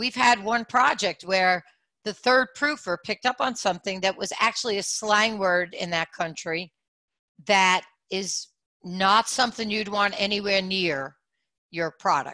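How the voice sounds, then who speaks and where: Against a quiet background, a woman with a New York accent speaks at a fairly slow pace in a bright, sharp tone, the sound dry and close with no echo. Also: medium pitch for a woman, ordinary pitch variation. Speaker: audio branding company CEO. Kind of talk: panel discussion.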